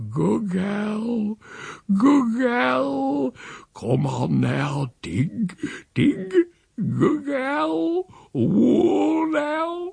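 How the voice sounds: In a put-on character voice, a man speaks very slowly at an extremely high pitch, with a slightly mellow tone, lively intonation, a slightly husky edge and vocal fry.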